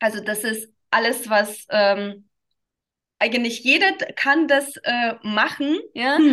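In a Russian accent, a woman with a bright, sharp tone and fairly high pitch speaks at a very slow pace, with lively intonation and long, frequent pauses. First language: Russian (speaking German). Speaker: dance teacher for children. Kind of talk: interview. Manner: halting, many fillers.

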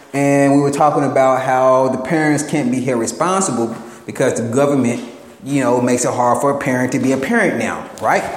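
A man with a fairly high pitch talks at a fairly quick pace amid audible room echo and noticeable background noise. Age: 30s. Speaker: podcast host. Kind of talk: casual monologue. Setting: at work while painting.

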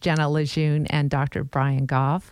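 Music can be heard behind the speech. The woman's delivery is fairly slow. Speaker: podcast host. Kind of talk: interview. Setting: studio.

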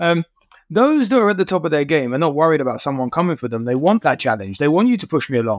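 Very fast speech comes from a man with a fairly high pitch and very wide pitch swings. The sound is dry and close, with no echo. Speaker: podcast co-host. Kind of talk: casual interview.

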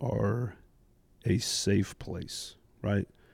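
A man with an American accent speaks in a dark, mellow tone, fairly low in pitch with ordinary pitch variation. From US Midwest, Indianapolis. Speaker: church drummer and youth ministry volunteer. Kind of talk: casual roundtable chat.

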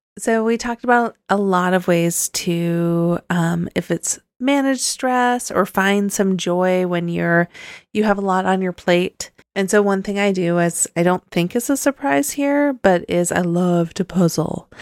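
A woman with an American accent speaks slowly-ish in a plain, everyday voice, medium in pitch with ordinary pitch variation. The sound is dry and close with no echo, in a very clean recording against a silent background. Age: 40s. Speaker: podcast co-host. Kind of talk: casual chat.

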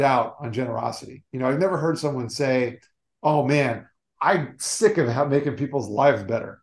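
This man has a plain, everyday voice at a fairly high pitch. He talks at a moderate pace with ordinary pitch variation. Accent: American. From South Florida. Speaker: motivational speaker on generosity. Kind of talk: interview.

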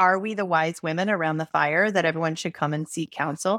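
Over a silent background in a very clean, dry, close recording with no echo, a woman with an ordinary speaking voice talks at a fairly low pitch with fairly even intonation. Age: 50s. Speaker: perimenopause health coach. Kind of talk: podcast interview.

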